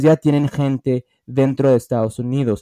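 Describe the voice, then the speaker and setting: A man speaks at a medium pitch in a dark, mellow tone. The recording is very clean with a silent background and a dry, close sound with no echo. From US, Los Angeles, of Mexican heritage. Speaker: former footballer and football pundit. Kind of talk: casual debate.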